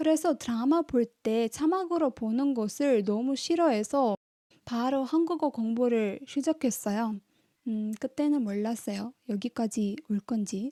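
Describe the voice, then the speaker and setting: A woman's high voice with a Tamil accent, dark and mellow in tone, lively in intonation, at a fairly slow pace, in a dry, close sound with no echo. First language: Tamil (speaking Korean). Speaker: language-learning YouTuber. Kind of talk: vlog monologue.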